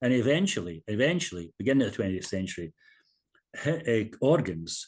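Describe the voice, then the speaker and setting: Here a man speaks in a Scottish accent. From Scotland. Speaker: minister and hymn composer. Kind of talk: interview.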